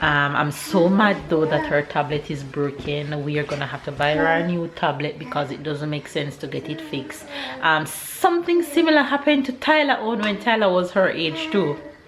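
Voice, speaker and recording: The speaker has a Jamaican accent and a moderate pace with hardly any pauses. Noticeable background noise is present. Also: woman, very deep, low pitch for a woman, ordinary pitch variation. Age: 30s. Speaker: family vlogger. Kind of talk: casual vlog talk to camera.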